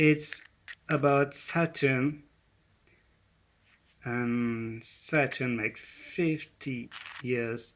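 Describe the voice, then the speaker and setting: Speaking at a very slow pace with long, frequent pauses, a man with a non-native accent keeps his intonation fairly even. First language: not English. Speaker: presenter on ancient spirituality. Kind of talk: presentation. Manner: halting.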